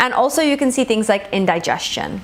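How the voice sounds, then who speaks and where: A woman talks with lively intonation at a fairly high pitch. Noticeable background noise runs under her voice. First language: Gujarati. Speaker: Ayurvedic medicine teacher. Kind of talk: lecture.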